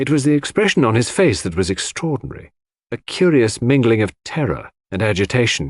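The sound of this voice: A man talks at a fairly quick pace with a medium pitch and big pitch swings. The recording is very clean, with a silent background.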